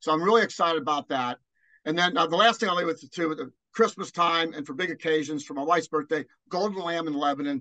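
A man with an American accent speaks very fast in a bright, sharp tone, his fairly high pitch showing ordinary variation in a dry, close sound with no echo. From Cincinnati area, US Midwest (born Newport, Kentucky). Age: 60s. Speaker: college basketball analyst and former coach. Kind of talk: interview.

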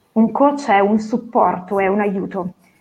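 At a fairly slow pace, a woman talks in an ordinary speaking voice with ordinary pitch variation. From northern Italy, Novara. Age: 30s. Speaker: professional coach. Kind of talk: interview. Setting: video call.

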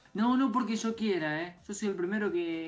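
Amid noticeable background noise and audible room echo, a woman at a medium pitch talks fairly quickly with lively intonation. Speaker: radio co-host, tech and gaming segment. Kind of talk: live radio show.

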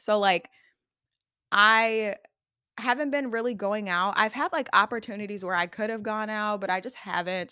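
Bright and sharp in tone, a woman with a fairly high pitch speaks animatedly at a moderate pace, leaving long, frequent pauses, in a very clean recording with a silent background. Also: ordinary pitch variation. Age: 20s. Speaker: podcast host. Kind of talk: casual solo chat.

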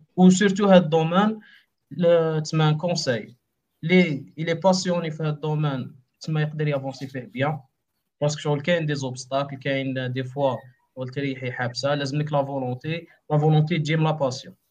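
Speaking at a moderate pace, a man uses a fairly high pitch with fairly even intonation. His voice is somewhat breathy. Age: 20s. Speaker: web developer. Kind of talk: casual interview.

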